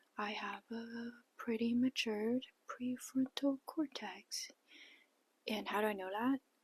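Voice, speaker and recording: A somewhat breathy woman's voice in a dry, close sound with no echo. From China, Shanghai. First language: Chinese. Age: 20s. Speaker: vlogger. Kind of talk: casual vlog monologue. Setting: childhood bedroom at parents' home.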